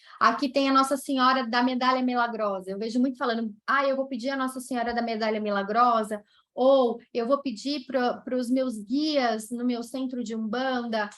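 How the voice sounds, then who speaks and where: The speaker has a slight Brazilian accent and a moderate pace. The intonation is monotone and flat. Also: woman, high pitch for a woman, hardly any pauses. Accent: non-mineiro Brazilian accent, slight. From Brazil, not Minas Gerais. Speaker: nurse and professor of palliative care. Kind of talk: conference talk Q&A.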